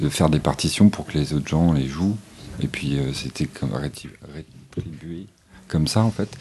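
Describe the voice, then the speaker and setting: With a very deep, low pitch, a man speaks in a dark, mellow tone with vocal fry. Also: ordinary pitch variation, moderate pace. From Normandy. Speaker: singer-songwriter. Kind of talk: casual chat.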